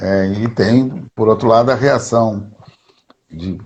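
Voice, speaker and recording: The man's voice sits fairly low and sounds somewhat breathy. His pitch varies in an ordinary way. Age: 60s. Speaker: history professor and activist. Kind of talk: interview. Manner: halting, with filler words.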